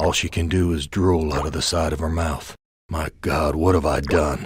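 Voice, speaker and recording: A man in a put-on character voice, very deep and low, monotone and flat, at a moderate pace. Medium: video game. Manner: weary, bitter.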